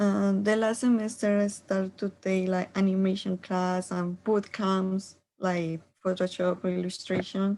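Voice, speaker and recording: Speaking with a Spanish accent, a woman uses a medium pitch and a dark, mellow tone, keeping a monotone, flat intonation at a fairly slow pace. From Colombia. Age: 20s. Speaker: art student. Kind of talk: self-introduction. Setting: video call.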